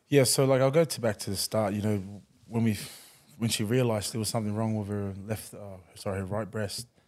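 Fairly quick speech with fairly even intonation and big swings in loudness, on a very clean recording with a silent background. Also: man. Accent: Australian. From New Zealand-born, raised in Queensland from age ten. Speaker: rugby league player. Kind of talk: casual interview. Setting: studio.

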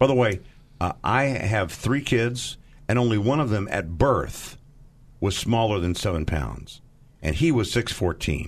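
An ordinary speaking voice at a fairly slow pace, with lively intonation. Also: man, fairly low pitch for a man. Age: 50s. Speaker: charity fundraiser. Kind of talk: radio fundraising appeal.

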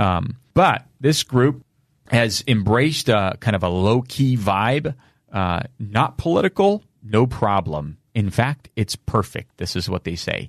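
A man at medium pitch speaks at a very slow pace with lively intonation, in a dry, close sound with no echo. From Romania. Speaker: podcast host, parental rights activist. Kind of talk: casual chat.

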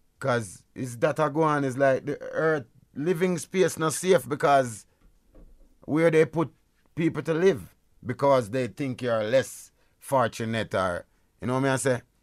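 On a very clean recording with a silent background, a man speaks with a fairly high pitch and ordinary pitch variation. His pace is fairly slow, with long, frequent pauses. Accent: Jamaican. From Jamaica. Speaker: reggae artist. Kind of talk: radio interview. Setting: radio studio.

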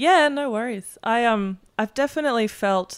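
A woman speaks at a moderate pace with an Australian accent. The recording is very clean, with a silent background. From Germany, then Melbourne, Australia. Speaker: musician. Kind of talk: casual chat.

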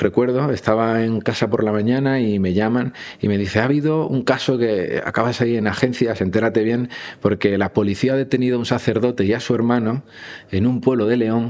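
A man keeps a fairly quick pace at a medium pitch with fairly even intonation. His loudness stays very even. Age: 30s. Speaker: journalist. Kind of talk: interview testimony. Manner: halting.

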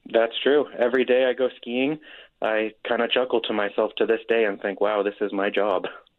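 The speaker keeps a moderate pace. The intonation stays fairly even. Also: man, medium pitch for a man. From Nevada side of Lake Tahoe. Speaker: weather app co-founder and forecaster. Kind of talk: radio interview.

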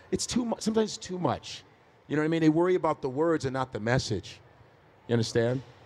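A man's very fast speech at a fairly high pitch, full of very wide pitch swings. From Chicago, US. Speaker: stand-up comedian. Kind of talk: live podcast interview. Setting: stage with audience.

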